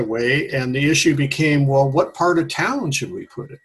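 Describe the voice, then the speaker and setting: A man with an American accent speaks at a moderate pace in a fairly high, somewhat breathy voice with ordinary pitch variation. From US Pacific Northwest, Washington. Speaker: retired educator and local historian. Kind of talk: radio interview. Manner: halting.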